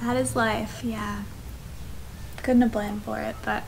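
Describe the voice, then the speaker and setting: Over light background noise, a woman with an American accent speaks at a fairly quick pace. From USA. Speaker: travel vlogger. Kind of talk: casual chat. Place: home room. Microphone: camera far.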